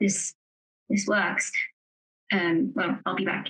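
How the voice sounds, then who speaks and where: A woman puts on a raspy character voice at medium pitch. She goes at a fairly slow pace, in a dry, close sound with no echo. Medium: actual play. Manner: formal, hesitant.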